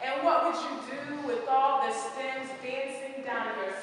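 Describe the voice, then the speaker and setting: Amid noticeable background noise, a woman uses a raised, projected voice at a high pitch, with fairly even intonation and a very slow pace. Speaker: spoken word poet. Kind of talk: spoken word poetry performance.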